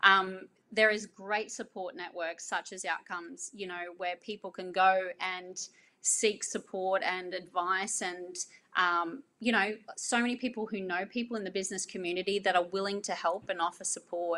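With an Australian accent, a woman speaks at a moderate pace and medium pitch in a bright, sharp tone with fairly even intonation. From Australia, North Queensland. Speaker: business owner. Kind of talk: interview.

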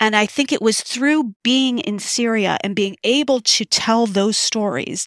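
A woman speaks in an ordinary speaking voice, fairly high in pitch with ordinary pitch variation and a fairly slow pace. The recording is very clean and dry, close with no echo, over a silent background. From United States. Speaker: filmmaker and professor. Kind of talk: interview.

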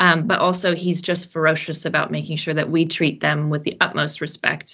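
A woman's very deep, low voice with a bright, sharp tone, monotone and flat at a moderate pace, in a very clean recording with a silent background. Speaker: operations director at fashion circularity company. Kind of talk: casual interview chat.

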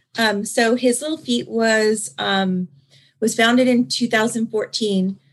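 A woman with an American accent talks at a very slow pace, her voice somewhat breathy and her intonation fairly even. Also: fairly high pitch for a woman. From Southern California. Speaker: non-profit founder and hairstylist. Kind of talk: interview.

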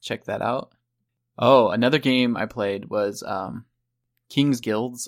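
A man speaks at a medium pitch with an Ohio accent. The recording is very clean, with a silent background. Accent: Ohio, ooh-sound vowels. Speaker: podcast host. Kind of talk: casual chat.

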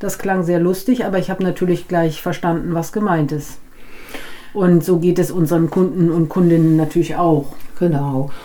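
Noticeable background noise behind a woman at a fairly low pitch, with fairly even intonation and a moderate pace. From Germany, raised from age three; Dutch family. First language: Dutch (speaking German). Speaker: podcast co-host, business German teacher. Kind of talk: casual educational chat.

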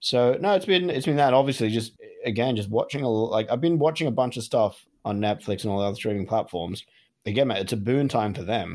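Speaking very fast with lively intonation, this man has an Australian accent. His pitch is medium. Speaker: podcast co-host. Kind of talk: casual chat. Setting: remote call from home.

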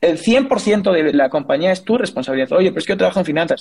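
This man's voice is pitched high. It swings very widely up and down. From Spain, Asturias. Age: 30s. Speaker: entrepreneur and economist. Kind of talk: interview. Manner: hesitant with repeated words and fillers.

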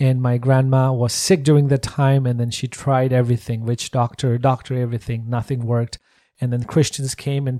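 Speaking with a Nepali accent, a man uses a medium pitch, a fairly quick pace and monotone, flat intonation in a dark, mellow tone, with a dry, close sound, no echo, and a very clean recording over a silent background. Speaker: missionary, worship trainer. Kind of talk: interview.

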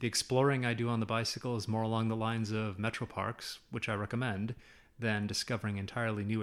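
A man talks at a very fast pace with monotone, flat intonation. The recording is very clean, with a silent background. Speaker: university professor. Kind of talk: casual interview chat.

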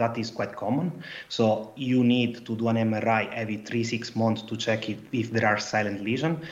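A man at medium pitch, over noticeable background noise. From Italy. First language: Italian. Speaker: PhD researcher. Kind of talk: casual chat.

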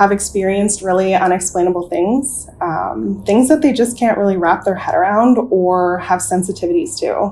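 A woman speaks in a plain, everyday voice at medium pitch. Her pitch variation is ordinary and her pace moderate. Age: 20s. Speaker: nurse. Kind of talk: storytelling interview.

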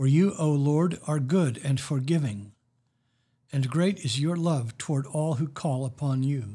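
Somewhat breathy and dark, mellow in tone, a man with a fairly high pitch speaks at a fairly slow pace with ordinary pitch variation. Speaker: priest leading worship. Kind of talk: liturgical prayer service. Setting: church, recorded for online listeners. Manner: formal.

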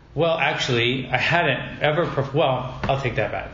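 Someone talks at a moderate pace in a room with audible echo while music plays in the background. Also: man. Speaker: drag pageant titleholder. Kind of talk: casual chat. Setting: conference room. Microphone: echo in room.

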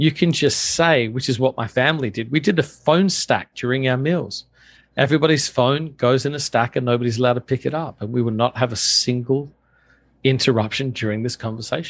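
A man with an Australian accent talks at a fairly quick pace in a medium pitch, with ordinary pitch variation over a quiet background. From Australia (Adelaide). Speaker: pastor and author. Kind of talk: interview.

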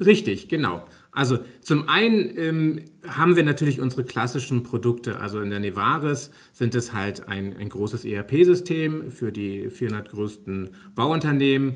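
A man with a normal speaking voice talks fairly slowly at a medium pitch, his intonation lively. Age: 40s. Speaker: software company managing director. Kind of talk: interview.

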